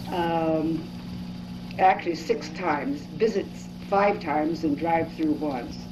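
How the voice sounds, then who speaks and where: A woman with an American accent, very deep and low in pitch, at a very slow pace with fairly even intonation, amid noticeable background noise and audible room echo. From California. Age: 70s. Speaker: interviewee. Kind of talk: oral history interview.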